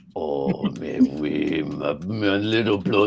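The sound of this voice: In a put-on character voice with a French accent as part of the act, the speaker talks at a very slow pace. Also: man, fairly low pitch for a man.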